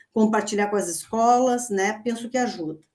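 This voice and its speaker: At a moderate pace, a woman talks in a normal speaking voice pitched fairly high. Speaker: university lecturer. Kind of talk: online presentation.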